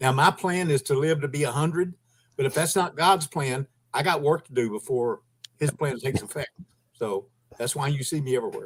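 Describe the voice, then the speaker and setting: At a fairly quick pace, a man with a fairly high pitch sounds somewhat breathy in a dry, close sound with no echo. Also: ordinary pitch variation. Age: 70s. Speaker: volunteer activist. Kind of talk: livestream panel chat.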